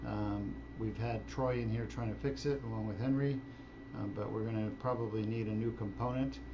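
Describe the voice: A man speaks at a moderate pace with fairly low pitch and fairly even intonation.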